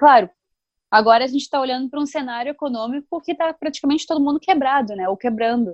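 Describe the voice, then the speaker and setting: A woman speaks in a high voice with ordinary pitch variation, the sound dry and close with no echo. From Novo Hamburgo, Rio Grande do Sul, Brazil. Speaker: sports journalist. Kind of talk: casual interview.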